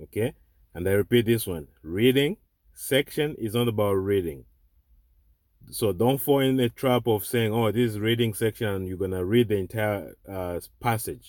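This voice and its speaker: A man with a non-native accent talks at a moderate pace and a fairly low pitch. The recording is very clean, with a silent background. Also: ordinary pitch variation. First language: not English. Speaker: online tutor. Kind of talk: tutorial. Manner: repetitive, halting.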